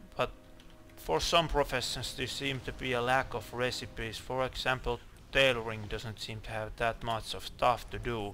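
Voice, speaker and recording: With a bright, sharp tone and vocal fry, a man speaks at a medium pitch and moderate pace with fairly even intonation. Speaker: gaming video creator. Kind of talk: gameplay commentary. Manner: halting, stuttering; mumbling at times.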